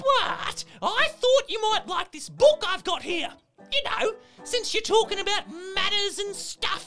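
Faint music plays behind a put-on character voice pitched extremely high and delivered at a fairly slow pace. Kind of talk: children's show, comic gameshow host. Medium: read story. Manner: bubbly, upbeat, playful.

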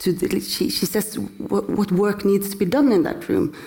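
Noticeable background noise is present. Over it, a woman keeps a moderate pace. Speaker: interviewer, critic. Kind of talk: onstage interview conversation. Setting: stage with audience.

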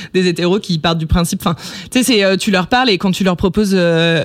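Noticeable background noise sits behind a woman talking at a fairly quick pace in a fairly low pitch with ordinary pitch variation. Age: 20s. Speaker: activist and content creator. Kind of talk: casual interview. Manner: stutters.

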